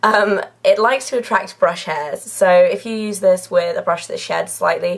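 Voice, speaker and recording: A woman talks over noticeable background noise. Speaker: beauty YouTuber. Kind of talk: casual product review. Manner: chatty, filler-heavy.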